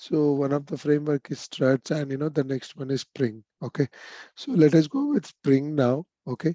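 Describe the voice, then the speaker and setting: A man's fairly high-pitched voice in a dark, mellow tone, with fairly even intonation and a moderate pace, in a dry, close sound with no echo against a quiet background. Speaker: programming instructor. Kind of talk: lecture. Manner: hesitant, many fillers.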